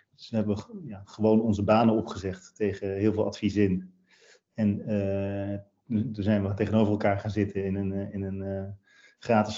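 Speaking at a fairly quick pace, the man keeps a fairly low pitch and a flat, monotone intonation. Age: 40s. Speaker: company founder. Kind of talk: interview. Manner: halting, many fillers and repeats.

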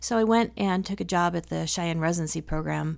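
A woman with an American accent and a plain, everyday voice speaks at a moderate pace and a fairly low pitch, in a very clean recording with a silent background. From Wyoming (teen years; earlier Chicago, Dallas). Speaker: emergency room physician. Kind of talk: interview. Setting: in-person interview in rural Wyoming.

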